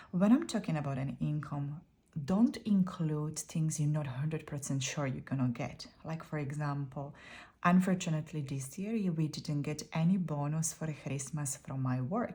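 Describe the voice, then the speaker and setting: With a non-native accent, a woman speaks at a very deep, low pitch, her tone dark and mellow and somewhat breathy. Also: ordinary pitch variation, moderate pace. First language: not English. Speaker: YouTuber sharing budgeting tips. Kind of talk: casual tutorial.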